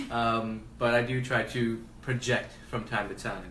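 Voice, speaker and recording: Amid audible room echo, a man speaks at a medium pitch with fairly even intonation. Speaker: face painting artist. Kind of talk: live tutorial. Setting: home livestream. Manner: soft-spoken.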